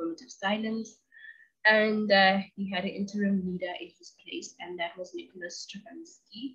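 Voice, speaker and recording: Against a quiet background, a woman at medium pitch talks at a moderate pace with lively intonation and big swings in loudness. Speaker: video channel host. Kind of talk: educational monologue. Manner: enthusiastic. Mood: casual, light humour. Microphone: webcam.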